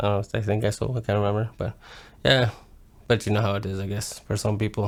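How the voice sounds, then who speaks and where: A man with a fairly low pitch talks at a very fast pace in a monotone, flat intonation. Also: very clean recording, silent background. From northern Alberta, Canada. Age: 30s. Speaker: person sharing life story. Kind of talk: personal testimony. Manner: casual, halting.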